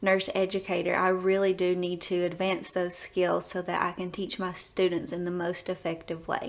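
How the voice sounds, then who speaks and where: At a moderate pace, a woman talks in a strong Southern US accent. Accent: deep Southern. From US South, East Tennessee. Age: 20s. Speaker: nurse educator. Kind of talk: self-introduction video.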